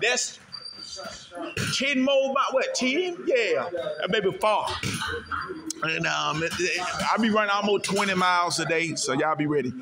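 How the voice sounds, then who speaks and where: In a raised, projected voice, a man talks at a moderate pace with noticeable background noise around him. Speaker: amateur boxer vlogger. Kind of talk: casual vlog chat. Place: gym. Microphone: phone near.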